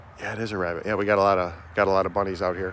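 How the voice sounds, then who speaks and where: A voice speaks very fast in a flat, monotone delivery over noticeable background noise. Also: man. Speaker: vlogger. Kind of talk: casual monologue while walking. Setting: outdoors in the woods. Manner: loud; halting.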